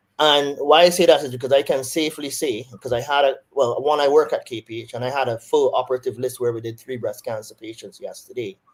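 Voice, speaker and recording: With a Barbadian accent, a man with a fairly high voice talks at a very fast pace with hardly any pauses. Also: fairly even intonation. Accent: Barbadian, doesn't sound Jamaican. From Barbados. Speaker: surgeon. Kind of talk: interview on a webinar.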